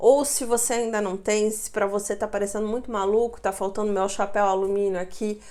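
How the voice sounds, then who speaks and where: Monotone, flat delivery at a moderate pace. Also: woman. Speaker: neurolinguistic programming coach and video creator. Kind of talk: casual vlog talk to camera. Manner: conversational, informal.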